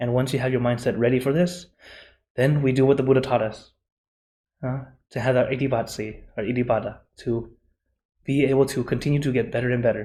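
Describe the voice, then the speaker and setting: In a very clean recording with a silent background, a man with a medium pitch and a dark, mellow, somewhat breathy tone talks at a very fast pace with long, frequent pauses and fairly even intonation. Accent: American. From USA. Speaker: Buddhist monk and meditation teacher. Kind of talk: conference presentation; Q&A answer. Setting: conference forum.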